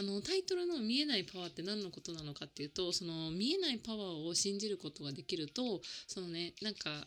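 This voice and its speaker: Lively in intonation, a woman speaks at a fairly quick pace with a bright, sharp tone and a medium pitch, on a very clean recording with a silent background. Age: 30s. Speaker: life coach and podcast host. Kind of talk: casual solo podcast monologue. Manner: chatty with many fillers.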